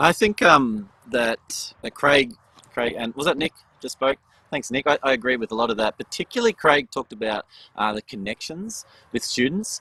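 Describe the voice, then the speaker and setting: Recorded dry and close with no echo, a man with an Australian accent speaks at a medium pitch in a bright, sharp tone with lively intonation. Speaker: education panelist. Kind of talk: panel discussion. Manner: fast.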